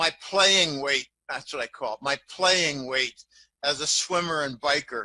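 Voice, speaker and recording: A man speaks in a raised, projected voice at a fairly slow pace. His tone is bright and sharp. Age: 60s. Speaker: financial analyst. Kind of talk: interview. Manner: halting.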